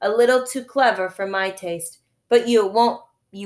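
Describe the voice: The clip is plain reading aloud with ordinary pitch variation and a quiet background.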